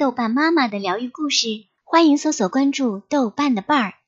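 Gentle and warm in tone, a woman speaks in a high voice with ordinary pitch variation. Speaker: bedtime story host. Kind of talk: fairy-tale bedtime storytelling, gentle and soothing, addressed to small children. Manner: coaxing, sing-song cadence with a gentle sleepy close.

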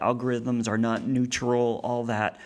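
A man speaks in an ordinary speaking voice. His pitch is medium and his pace is moderate. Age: 40s. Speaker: theology professor and author. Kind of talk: casual interview. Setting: studio with big headphones.

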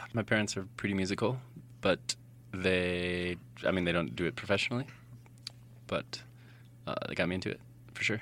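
A man with a very deep, low pitch talks at a fairly quick pace, using ordinary pitch variation and leaving long, frequent pauses. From Colorado. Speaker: indie musician. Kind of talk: casual interview chat.

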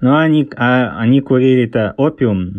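This is a man at medium pitch. His pitch varies in an ordinary way. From England (born in Leningrad, moved around). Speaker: author. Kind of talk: interview. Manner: halting, with many fillers.

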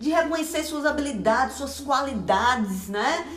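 The speech moves at a moderate pace with lively intonation. Noticeable background noise and audible room echo are present. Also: woman. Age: 40s. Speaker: pastor. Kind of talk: sermon. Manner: conversational.

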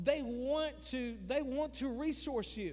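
Male voice with ordinary pitch variation and audible room echo. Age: 50s. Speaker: pastor. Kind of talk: sermon. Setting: church. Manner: animated.

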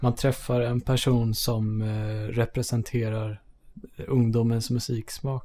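A man's somewhat breathy, dark, mellow voice at a medium pitch, very slow and monotone. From Sweden, Södertälje. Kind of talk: casual chat.

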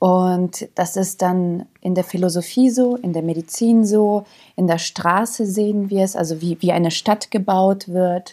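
The recording is very clean, with a silent background. A woman speaks at a medium pitch with a dark, mellow tone and fairly even intonation. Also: fairly slow pace. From Germany, moved from Yugoslavia as small child. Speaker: actress and author. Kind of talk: casual interview.

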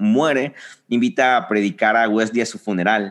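Against a quiet background, a man with an unremarkable speaking voice talks at a moderate pace with lively intonation. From Mexico, Reynosa, Tamaulipas. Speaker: church leader. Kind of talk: casual chat.

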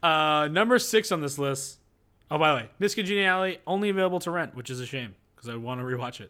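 A man with a fairly high pitch and a bright, sharp tone races at a very fast pace, his pitch swinging very widely. Loudness swings a lot on a very clean recording with a silent background. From Argentina. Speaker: movie podcast host. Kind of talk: casual chat.

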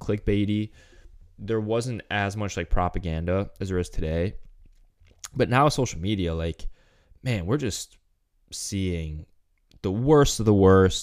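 On a very clean recording with a silent background, a man with a fairly low pitch and a plain, everyday voice talks at a fairly slow pace with ordinary pitch variation. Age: 20s. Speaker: fitness coach podcast host. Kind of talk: solo podcast monologue. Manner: casual, filler-heavy.

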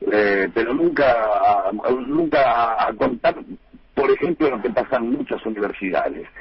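Background noise is noticeable here. The talking keeps a moderate pace. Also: man. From Buenos Aires conurbano, Argentina. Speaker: humorist and author. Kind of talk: radio interview. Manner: halting, repeats words.

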